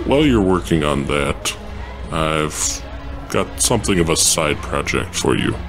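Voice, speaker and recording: Over loud background noise, a man puts on a character voice and talks at a moderate pace. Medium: role play. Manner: blunt, terse.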